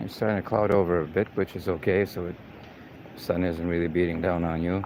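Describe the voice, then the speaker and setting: Relaxed in tone, a man with a slight non-native accent speaks at a fairly quick pace, his very deep, low pitch held in monotone, flat intonation. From Canada, Saskatchewan. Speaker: live-stream host and tour guide. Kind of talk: live walking city tour. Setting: outdoors, walking the city streets. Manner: casual, relaxed.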